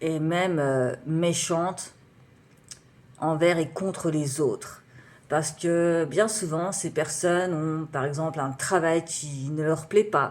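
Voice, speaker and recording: A woman's voice, very deep and low for a female, moves at a very slow speed with typical pitch variation. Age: 30s. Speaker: writer and beatmaker, vlogger. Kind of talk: personal vlog monologue. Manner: halting, many fillers.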